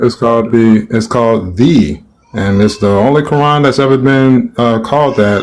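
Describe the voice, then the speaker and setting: A man with an unremarkable speaking voice talks at a moderate pace and medium pitch, his loudness very even and his pitch variation ordinary. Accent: American. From United States. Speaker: caller in religious debate. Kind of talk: heated debate.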